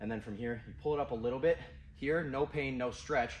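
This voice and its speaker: A man speaking at a moderate pace. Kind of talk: tutorial. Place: gym. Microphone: camera far.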